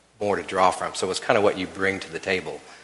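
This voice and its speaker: There is audible room echo on this recording. A man speaks with an American accent. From Oklahoma City. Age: 60s. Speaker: church elder. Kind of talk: church panel conversation.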